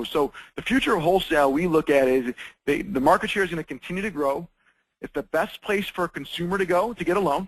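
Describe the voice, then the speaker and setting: A man's high voice at a very fast pace, ordinary pitch variation, dry and close with no echo. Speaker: mortgage lending executive. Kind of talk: webinar presentation. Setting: webinar call. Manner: animated.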